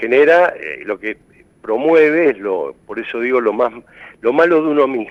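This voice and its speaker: Speaking at a fairly slow pace, a man with a medium-pitched voice swings widely in loudness. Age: 60s. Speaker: mental health expert. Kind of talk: TV interview. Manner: halting.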